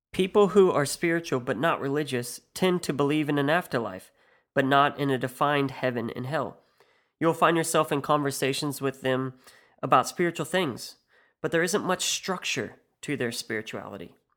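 With a Midwestern US accent, a man talks at a fairly high pitch and moderate pace, with ordinary pitch variation, on a very clean recording with a silent background. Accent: US Midwest. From US Midwest. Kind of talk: scripted monologue podcast.

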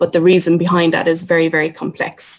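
A woman speaks at a moderate pace with a Cork accent, her fairly low voice held in a monotone, flat intonation. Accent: Cork Irish. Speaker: artist and Traveller activist. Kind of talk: public talk.

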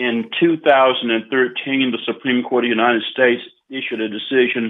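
A man is speaking. He has a Southern US accent. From US South, Arkansas. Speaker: retired judge. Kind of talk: radio interview.

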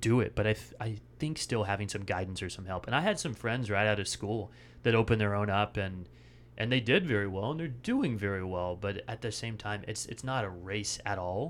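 A man with an unremarkable speaking voice and an American accent talks at a fairly low pitch and a fairly quick pace, with ordinary pitch variation, on a very clean recording with a silent background. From Washington State, US Pacific Northwest. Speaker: chiropractor. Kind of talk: casual interview.

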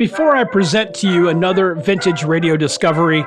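Over music in the background, a man talks with an American accent. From US Florida. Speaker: podcast host, wargaming hobbyist. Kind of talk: casual podcast host chat and movie review. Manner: conversational, informal, mildly self-deprecating.

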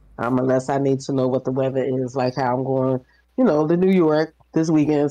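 Over background music, a woman with an American accent talks at a moderate pace with ordinary pitch variation. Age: 50s. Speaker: social worker. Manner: loud, fiery, indignant.

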